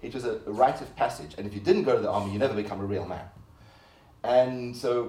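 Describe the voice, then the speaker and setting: In a room with audible echo, a man talks in a somewhat breathy voice. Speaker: artist. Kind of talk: lecture.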